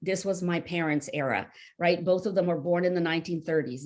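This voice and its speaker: Speaking fairly quickly in a plain, everyday voice, a woman keeps a fairly low pitch and fairly even intonation. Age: 60s. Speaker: novelist. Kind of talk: interview.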